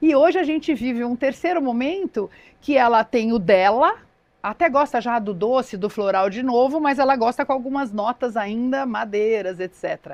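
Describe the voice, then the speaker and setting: A woman's high-pitched voice, dry and close with no echo, moves at a moderate pace with lively intonation. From Brazil, São Paulo. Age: 60s. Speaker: relationship and emotional intelligence specialist. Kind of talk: podcast interview.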